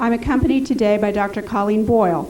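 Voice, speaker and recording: A woman talks at a fairly quick pace with fairly even intonation. Noticeable background noise and audible room echo surround her. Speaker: public health official testifying. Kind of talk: formal prepared testimony. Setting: congressional hearing room. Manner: formal.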